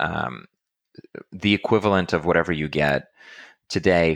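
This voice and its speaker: On a very clean recording with a silent background and a dry, close sound with no echo, a man talks at a moderate pace in a very deep, low pitch with vocal fry and ordinary pitch variation. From Russia. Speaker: fintech executive. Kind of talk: interview.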